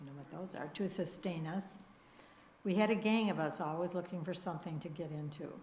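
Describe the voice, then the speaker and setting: Her voice somewhat breathy, a woman talks at a fairly quick pace with a fairly low pitch and fairly even intonation. Her loudness swings widely, and the room echo is audible. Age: 80s. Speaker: congregation member sharing personal story. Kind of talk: testimony. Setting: church service.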